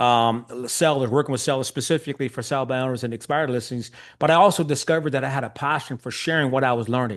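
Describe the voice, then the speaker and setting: At a very fast pace, a man talks against a quiet background. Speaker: real estate coach. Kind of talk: webinar presentation.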